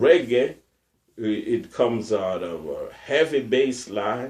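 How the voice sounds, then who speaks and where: A man speaks at a very slow pace with lively intonation and a medium pitch. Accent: Jamaican. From Jamaica. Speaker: researcher of Fulani culture. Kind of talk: interview answer.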